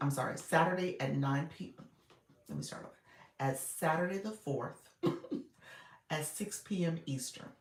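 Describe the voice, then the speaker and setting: Raspy and in a middle pitch, a put-on character voice goes at a moderate pace with long, frequent pauses. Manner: talking too fast.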